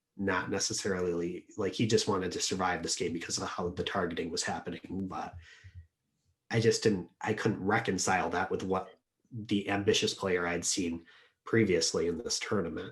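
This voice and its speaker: This soft-spoken voice is somewhat breathy and keeps a fairly even intonation. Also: man, fairly low pitch for a man, moderate pace. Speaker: Diplomacy tournament player. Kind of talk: interview answer.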